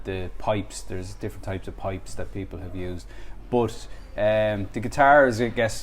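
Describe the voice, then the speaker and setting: The speaker has a Dublin accent. Room echo is audible. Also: man, moderate pace. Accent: Dublin Irish. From Ireland, Dublin. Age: 30s. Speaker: musician. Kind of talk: interview. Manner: halting.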